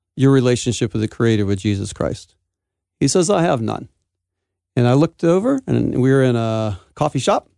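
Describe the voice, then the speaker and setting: With an American accent, a man talks at a moderate pace in a medium pitch with lively intonation, the sound dry and close with no echo over a quiet background. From United States. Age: 50s. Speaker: pastor and businessman. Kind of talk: radio interview. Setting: studio.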